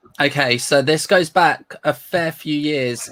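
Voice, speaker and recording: Very slow speech in a Northern English accent. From Northern England.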